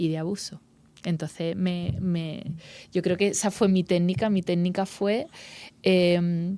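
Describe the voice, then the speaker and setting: In an Andalusian accent, a woman speaks at a very slow pace with a fairly low pitch and a dark, mellow tone. Her intonation is fairly even, with long, frequent pauses, in a very clean recording with a silent background. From Andalusia, Spain. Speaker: actress and journalist. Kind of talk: interview. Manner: halting.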